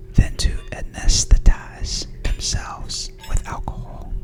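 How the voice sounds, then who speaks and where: A woman whispers in a soothing tone at a very slow pace, with music in the background. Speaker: ASMR creator and mother. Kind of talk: reading study notes about the chapter. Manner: whispered, soothing.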